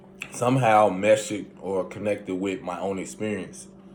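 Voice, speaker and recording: In a Southern US accent, a man speaks at a moderate pace with a fairly low pitch. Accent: southern twang. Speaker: spiritual self-help vlogger. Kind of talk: casual monologue.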